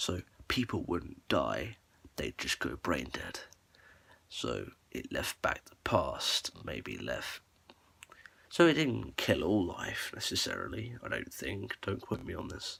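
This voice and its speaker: A soft-spoken man talks at a very slow pace. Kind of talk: ASMR lore explainer, casual talk to camera.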